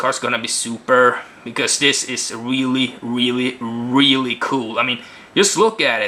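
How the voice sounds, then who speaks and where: With a non-native accent, a man talks at a medium pitch. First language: not English. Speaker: card game video reviewer. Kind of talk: casual video review. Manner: halting.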